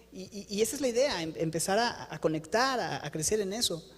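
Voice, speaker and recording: The voice has an animated tone over noticeable background noise. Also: man. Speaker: pastor. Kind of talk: sermon. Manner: fast.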